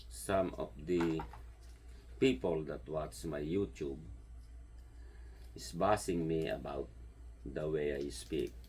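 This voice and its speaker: A man with a strong Filipino accent, somewhat breathy, with very deep, low pitch and a very slow pace. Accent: heavy Filipino. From Philippines. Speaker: home gardener and vlogger. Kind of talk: casual vlog monologue. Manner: halting, searching for words.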